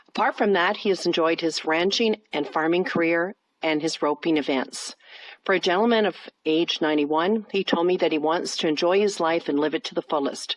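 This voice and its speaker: Pitched fairly low, a woman has an ordinary speaking voice with ordinary pitch variation. She talks at a fairly quick pace in a dry, close sound with no echo. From Canada. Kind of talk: narrated report.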